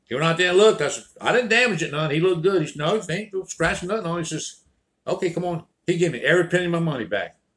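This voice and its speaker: A man with an American accent talks at a very fast pace. His pitch is high, with ordinary variation. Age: 70s. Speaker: storyteller. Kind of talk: casual storytelling monologue.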